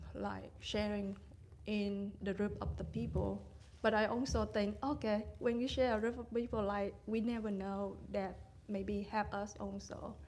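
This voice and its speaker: A woman speaks in a Vietnamese accent, with audible room echo. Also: fairly slow pace. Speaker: meditation retreat participant. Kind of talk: question and sharing at dharma talk. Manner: halting.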